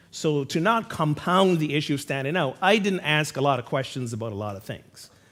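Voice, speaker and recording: Here a man talks at a fairly high pitch with a bright, sharp tone. His intonation is lively and his pace moderate. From Barbados. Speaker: pastor. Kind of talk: sermon.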